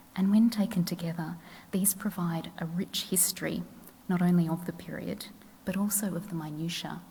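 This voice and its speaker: A soft-spoken woman talks at a fairly low pitch with a dark, mellow tone, vocal fry and ordinary pitch variation. Audible room echo surrounds her voice. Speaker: historian. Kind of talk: lecture.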